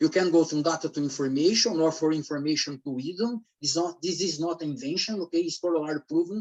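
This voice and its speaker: Speaking at a very fast pace with hardly any pauses, a man uses a fairly high pitch and a Brazilian Portuguese accent. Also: ordinary pitch variation. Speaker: academic researcher. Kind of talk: conference presentation. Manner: halting.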